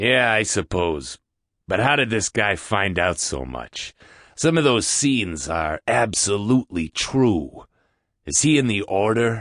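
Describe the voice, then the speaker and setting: Putting on a character voice, a man speaks fairly slowly at a fairly low pitch with very wide pitch swings, in a dry, close sound with no echo and a quiet background. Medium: audio drama. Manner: blunt, casual.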